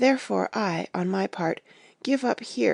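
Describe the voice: Someone is doing plain reading aloud.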